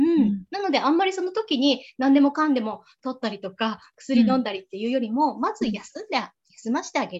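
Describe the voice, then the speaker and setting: The voice moves at a fairly quick pace, with very wide pitch swings and big swings in loudness. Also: woman, high pitch for a woman. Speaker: dietitian. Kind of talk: lecture. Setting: video call.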